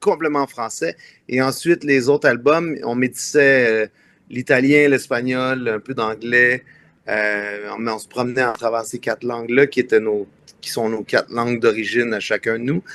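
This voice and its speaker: Medium pitch from a man at a moderate pace, fairly even intonation, and a dry, close sound with no echo. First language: Italian (speaking French). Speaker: singer-songwriter. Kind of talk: interview.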